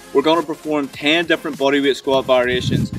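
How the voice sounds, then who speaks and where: Amid noticeable background noise, a man talks at a very fast pace with fairly even intonation. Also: dry sound with no echo. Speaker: fitness coach. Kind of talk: workout tutorial. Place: open country.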